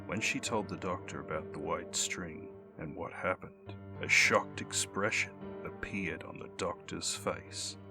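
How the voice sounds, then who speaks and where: Music plays in the background as a man with a fairly low voice speaks at a moderate pace. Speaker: voice actor and storyteller. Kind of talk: mythology and urban legend storytelling narration.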